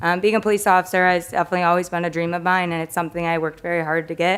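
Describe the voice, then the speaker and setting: Here is a woman with an American accent. Her voice sits at a fairly low pitch. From Michigan, US Midwest (Macomb County). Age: 20s. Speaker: police officer. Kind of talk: self-introduction at public meeting. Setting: council meeting with audience.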